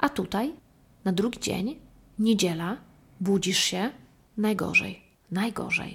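A woman speaks at a fairly slow pace in a fairly high, somewhat breathy voice. Her tone is animated, with ordinary pitch variation. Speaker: solo podcast host. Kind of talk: casual monologue.

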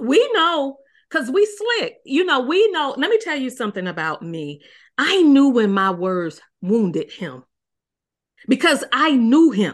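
In a quiet background, a woman talks at a fairly slow pace in a high pitch with very wide pitch swings. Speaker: marriage coach. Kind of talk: interview conversation.

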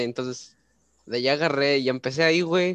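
Recorded dry and close with no echo, a man speaks at medium pitch with a Mexican accent. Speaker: podcast host. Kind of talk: casual chat.

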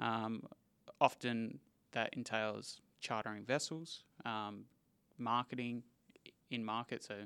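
A man with an Australian accent, medium in pitch with a bright, sharp tone, fairly even in intonation, at a fairly slow pace with long, frequent pauses. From Western Australia, Perth. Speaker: livestock export manager. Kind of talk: interview.

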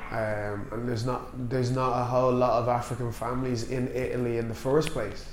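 Over noticeable background noise, a man with an Irish accent talks at a medium pitch with hardly any pauses. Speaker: podcast host, wine industry. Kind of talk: casual chat.

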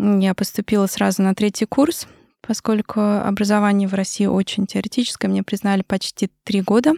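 Dark, mellow tone with fairly even intonation and very even loudness, dry and close with no echo on a very clean recording with a silent background. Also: woman, medium pitch for a woman, moderate pace. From Russia, Moscow. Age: 30s. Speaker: maxillofacial surgeon. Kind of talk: interview.

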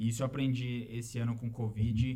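The voice has a dark, mellow tone, a somewhat breathy quality and fairly even intonation at a moderate pace. Audible room echo is present. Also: man. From Brazil, São Paulo. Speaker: engineer and immigrant in Canada. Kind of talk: casual chat.

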